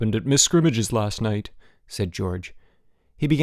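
The clip is reading aloud in a natural voice, with lively intonation.

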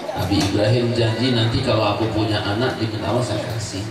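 Amid loud background noise and audible room echo, a man speaks. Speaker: Islamic preacher. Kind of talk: sermon with humor. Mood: humorous storytelling. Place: home room.

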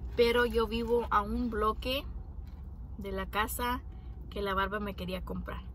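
A woman speaks at a very slow pace. The sound is dry with no echo, over light background noise. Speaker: vlogger. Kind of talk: casual vlog chat. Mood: grateful, reflective storytelling. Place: car. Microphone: phone near.

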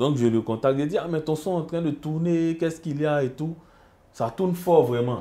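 This man talks at a fairly quick pace with a fairly high pitch, a dark, mellow tone and ordinary pitch variation. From Côte d'Ivoire. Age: young. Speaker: musician; guest. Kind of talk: casual interview. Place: studio. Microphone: lapel.

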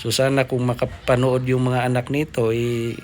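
A man talks at a moderate pace in a medium pitch. Noticeable background noise runs underneath. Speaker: vlogger. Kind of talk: vlog narration. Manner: halting, many fillers.

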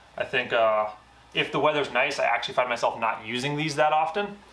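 Talking at a fairly quick pace, a man uses a medium pitch, a fairly bright tone and ordinary pitch variation, with audible room echo.

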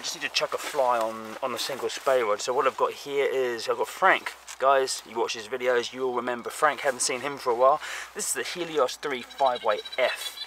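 Light background noise accompanies a man speaking at a moderate pace, the sound dry with no echo. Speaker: fly fishing vlogger. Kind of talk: casual vlog chat. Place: open country. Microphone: phone near.

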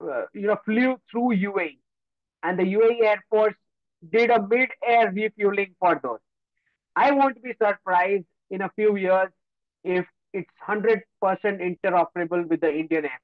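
Over a quiet background, a man speaks with a high pitch and ordinary pitch variation at a fairly slow pace. Long, frequent pauses break his speech, and the sound is dry with no echo. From Gujarat, India. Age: young. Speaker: geopolitical analyst. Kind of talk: lecture. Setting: video call. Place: home room. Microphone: video call.

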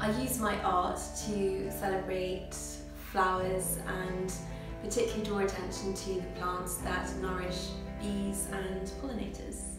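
Over clear background music and audible room echo, a woman with a British accent speaks at a fairly slow pace. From England. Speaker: watercolour artist. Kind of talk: interview answer. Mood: warm, animated. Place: home room. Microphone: camera far.

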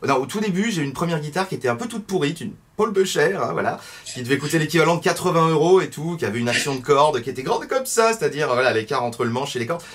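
A man at a very fast pace with lively intonation. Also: fairly high pitch for a man. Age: 30s. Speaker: guitar teacher YouTuber; guitar teacher guest. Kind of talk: interview. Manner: hesitant, many fillers. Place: home room. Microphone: webcam.

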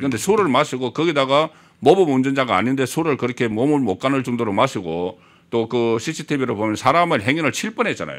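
A man speaks fairly quickly at medium pitch, with very wide pitch swings and vocal fry. The background is quiet. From South Korea. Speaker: political commentator. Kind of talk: political talk show interview. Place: studio. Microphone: studio mic.

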